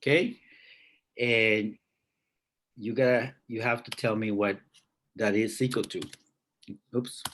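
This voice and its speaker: A man is speaking. His delivery is fairly slow. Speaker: math teacher. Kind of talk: online class lesson. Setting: video call.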